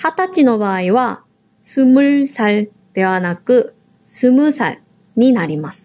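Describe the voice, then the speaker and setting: Speaking very slowly, a woman uses a high pitch with very wide pitch swings. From South Korea. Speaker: language teacher, podcast co-host. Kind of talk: language lesson.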